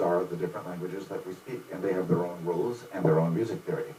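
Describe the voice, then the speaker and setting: A man's pitch swings very widely while noticeable background noise carries on behind him. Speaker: music teacher. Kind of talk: informal lecture. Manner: fast when excited; animated.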